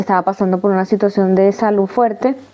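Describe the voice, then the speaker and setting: Noticeable background noise under a woman's voice, pitched in the middle range. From Venezuela, Caracas. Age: 30s. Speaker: migrant sharing her life story. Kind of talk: testimony interview. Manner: halting, many false starts.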